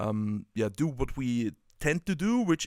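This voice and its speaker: At a fairly slow pace, the speaker talks with a German accent in a very clean recording with a silent background. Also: man. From Germany. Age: 30s. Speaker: football coach and tactics writer. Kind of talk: casual podcast conversation. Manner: halting, many fillers.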